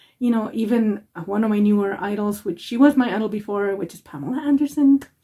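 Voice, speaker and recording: A woman speaks with a non-native accent. Her tone is dark and mellow, and somewhat breathy. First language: not English. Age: 40s. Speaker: makeup vlogger. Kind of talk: makeup tutorial. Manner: rambling, casual.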